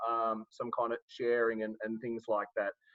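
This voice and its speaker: With an Australian accent, this man is talking. He holds a moderate pace. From Sydney, Australia. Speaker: life coach and trainer. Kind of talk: live webinar presentation. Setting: online video webinar. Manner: hesitant, many fillers.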